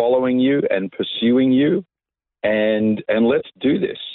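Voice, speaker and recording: In an Australian accent, the man talks at a medium pitch, his pitch varying in an ordinary way. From Australia, Coffs Harbour NSW. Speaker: pastor. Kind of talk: casual interview.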